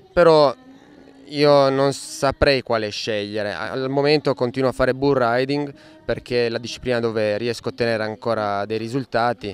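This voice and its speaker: A man at a moderate pace, fairly even intonation, faint background music, and a dry sound with no echo. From Italy. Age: 30s. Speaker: rodeo bull rider. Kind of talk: interview. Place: farm. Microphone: handheld.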